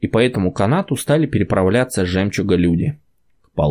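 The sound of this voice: Lively intonation runs through the speech. It is delivered in an unforced reading voice.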